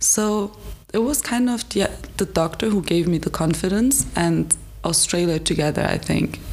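A woman talks at a moderate pace, her loudness kept very even, with noticeable background noise behind her. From Germany, Frankfurt. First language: German and Turkish. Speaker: medical student and ambassador. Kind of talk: interview conversation.

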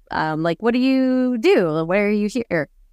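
A woman with an ordinary speaking voice talks at a fairly slow pace and a fairly high pitch, her intonation lively. The sound is dry and close with no echo. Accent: Canadian. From Canada. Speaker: missionary turned business owner. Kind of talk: interview storytelling. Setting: remote interview.

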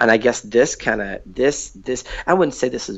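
A man with an American accent, vocal fry, and a moderate pace. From US Northwest, Seattle. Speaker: hip hop artist and youth program director. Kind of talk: casual interview chat. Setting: remote call. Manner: halting, many fillers.

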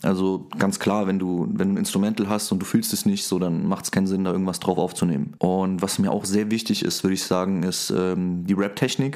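A man's plain, everyday voice, fairly low in pitch. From Saarland, Germany. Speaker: rapper. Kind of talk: interview.

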